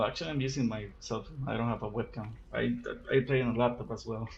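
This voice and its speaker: A man's voice with a Spanish accent. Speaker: gaming youtuber. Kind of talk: unscripted gameplay commentary. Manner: halting, many repetitions and fillers. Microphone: recorded with cell phone.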